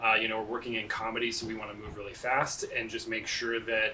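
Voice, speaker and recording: Noticeable background noise sits behind a man speaking at a very fast pace in a medium-pitched voice. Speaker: film director. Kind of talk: documentary interview.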